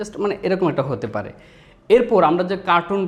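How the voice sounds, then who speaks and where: A man with a plain, everyday voice and ordinary pitch variation. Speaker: voice actor. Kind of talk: voice demo talk to camera.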